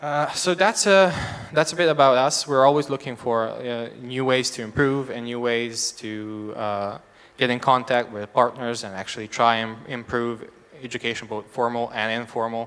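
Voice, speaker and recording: A man with a Serbian accent speaks at a moderate pace and medium pitch, his pitch moving in an ordinary way while his loudness swings widely. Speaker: education nonprofit representative. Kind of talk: stage presentation. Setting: stage with audience. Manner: halting.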